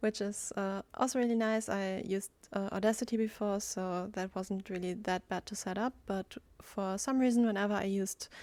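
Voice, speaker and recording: Against a silent background in a very clean recording, a woman speaks with a German accent. Her medium pitch moves with fairly even intonation at a moderate pace. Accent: German accent in English, self-described. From Germany. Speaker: gaming YouTuber. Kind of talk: voiceover commentary over gameplay. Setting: home recording, recorded in Audacity. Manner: halting, many fillers.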